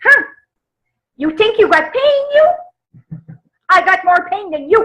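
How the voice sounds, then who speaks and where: A female-sounding, squeaky put-on character voice with a strong French accent speaks at an extremely high pitch and a fairly slow pace. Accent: thick French. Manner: indignant, complaining.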